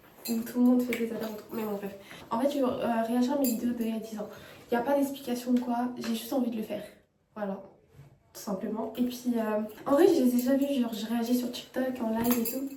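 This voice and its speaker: A woman with a high pitch talks at a fairly quick pace, broken by long, frequent pauses. Noticeable background noise and audible room echo come through. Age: 20s. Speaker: YouTuber reacting to her old videos. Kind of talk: casual vlog chat. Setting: bathroom at home. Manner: animated.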